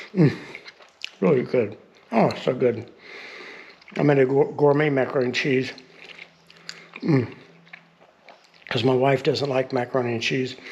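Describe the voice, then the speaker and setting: A man with fairly even intonation and long, frequent pauses, over noticeable background noise. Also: medium pitch for a man, moderate pace. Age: 60s. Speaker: vlogger building a stone cottage. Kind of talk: casual vlog talk.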